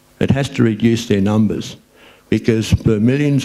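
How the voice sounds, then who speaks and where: A medium-pitched man's voice with a dark, mellow tone and an Australian accent. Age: 60s. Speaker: recreational fishing spokesperson. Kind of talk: public talk.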